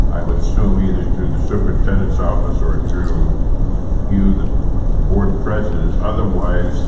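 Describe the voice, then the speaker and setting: A man's voice with audible room echo and loud background noise. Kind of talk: formal meeting statement. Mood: firm, procedural. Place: hall. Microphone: camera far.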